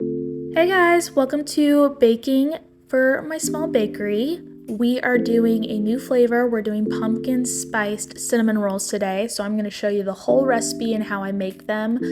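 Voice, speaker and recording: Speech at a moderate pace, with music in the background. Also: woman. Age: 20s. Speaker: home baker and vlogger. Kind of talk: tutorial voiceover. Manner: casual.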